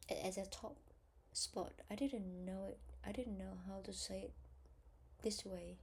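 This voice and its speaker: A woman with a Vietnamese accent speaks with long, frequent pauses. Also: fairly slow pace. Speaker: English test learner. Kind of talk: self-study practice session. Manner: halting, hesitant.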